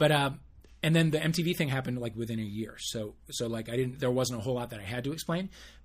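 The speech runs at a very fast pace, somewhat breathy, with ordinary pitch variation. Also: man, medium pitch for a man. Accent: American. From US Midwest, St. Louis area. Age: 50s. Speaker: podcast co-host. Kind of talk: casual chat.

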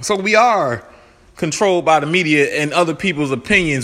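This man talks while noticeable noise sounds in the background. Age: 20s. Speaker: podcast host. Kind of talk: solo commentary monologue. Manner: casual, conversational with fillers.

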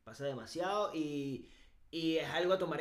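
Amid noticeable background noise and audible room echo, a man with a Venezuelan accent speaks at a fairly high pitch. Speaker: podcast co-host. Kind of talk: casual chat.

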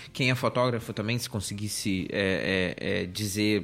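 Over music in the background, a man speaks at a moderate pace in a fairly low voice with fairly even intonation. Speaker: tech podcast host. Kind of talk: casual chat.

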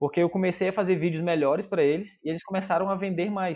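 A man's high-pitched, very fast speech with fairly even intonation. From Manaus, Brazil. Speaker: videomaker. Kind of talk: casual chat.

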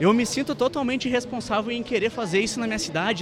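A man rushes along at a very fast pace while noticeable background noise carries on. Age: young. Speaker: podcast co-host. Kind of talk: casual interview. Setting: live event.

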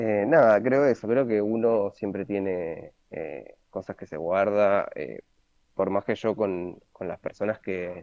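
Pitch rises and falls in an ordinary way. It is a normal speaking voice. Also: man. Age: 20s. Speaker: interview guest. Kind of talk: casual interview. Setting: at home during lockdown.

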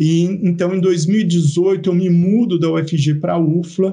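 This man has a high pitch and a dark, mellow tone. His intonation stays fairly even. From Brazil, interior of São Paulo state (Araraquara). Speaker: university professor and geneticist. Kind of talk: casual interview. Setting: video podcast.

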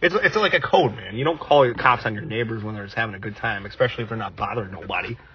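A man with an American accent, medium pitch, ordinary pitch variation and big swings in loudness, at a very fast pace with hardly any pauses, over noticeable background noise. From United States. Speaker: podcast co-host. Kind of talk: casual chat.

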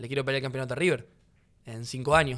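The man speaks with fairly even intonation. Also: very clean recording, silent background. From Rosario, Argentina. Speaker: footballer. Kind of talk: casual chat.

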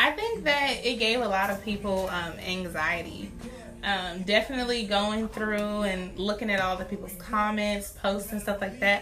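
The speech moves at a moderate pace with ordinary pitch variation. There is noticeable background noise and audible room echo. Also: woman. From Baltimore. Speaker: podcast co-host. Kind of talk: casual chat.

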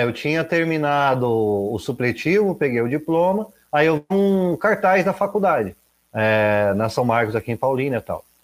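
A male speaker at a medium tempo, fairly high in pitch and swinging very widely up and down. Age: 30s. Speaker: environmental educator. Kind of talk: casual interview chat.

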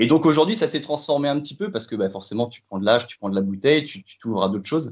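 A man's voice with ordinary pitch variation. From Brittany, France (Fougères area). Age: 30s. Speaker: football fan. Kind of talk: casual chat. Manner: halting.

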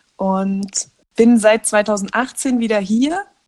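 Pitch varies in an ordinary way, and the sound is dry and close with no echo. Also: woman. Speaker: podcast co-host. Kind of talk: casual chat. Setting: remote call from a caravan. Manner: animated, laughing often. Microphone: muffled, recording under a blanket.

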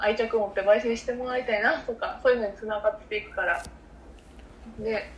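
Over noticeable background noise, a woman talks at a fairly quick pace and fairly high pitch, with ordinary pitch variation and big swings in loudness. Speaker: coffee company podcast co-host. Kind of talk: casual chat. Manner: soft, gentle and soothing.

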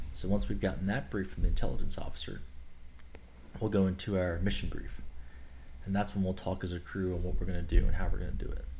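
A man with an American accent and a very deep, low pitch talks at a very fast pace with vocal fry and a dark, mellow tone, leaving long, frequent pauses amid audible room echo. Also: ordinary pitch variation. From Kentucky, US. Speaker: air force officer. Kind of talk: casual interview.

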